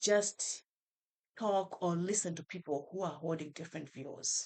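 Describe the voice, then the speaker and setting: A woman speaks at a medium pitch. She has a Malawian accent. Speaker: professor. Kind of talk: podcast interview.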